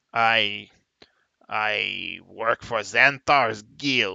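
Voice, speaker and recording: A man's raspy put-on character voice at medium pitch. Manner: scowling, sullen.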